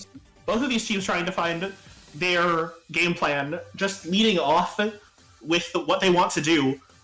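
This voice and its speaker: A fairly slow pace over music in the background. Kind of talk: live game commentary, excited.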